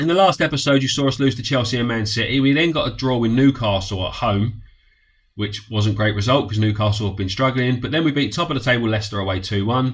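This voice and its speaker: A man with a somewhat breathy voice speaks at a very fast pace, at a medium pitch with ordinary pitch variation. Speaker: gaming YouTuber. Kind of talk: game commentary.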